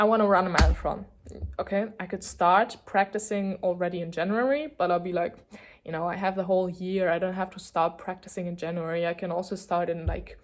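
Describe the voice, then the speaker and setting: In a German accent, a woman with a medium pitch talks at a fairly quick pace with fairly even intonation. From Germany. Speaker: vlogger. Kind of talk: casual chat. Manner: hesitant, lots of fillers.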